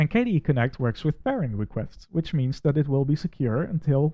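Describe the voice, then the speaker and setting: A man with a Dutch accent talks at a fairly quick pace in a fairly high pitch, sounding somewhat breathy. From Netherlands. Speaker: Windows administrator and tech reviewer. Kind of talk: software review with screen walkthrough.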